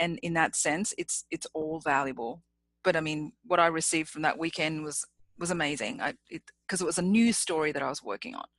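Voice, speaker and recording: Spoken with an Australian accent and lively intonation, the words come at a fairly quick pace. The sound is dry and close with no echo. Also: woman, fairly low pitch for a woman. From Australia, Sydney. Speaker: public speaking champion. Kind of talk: interview.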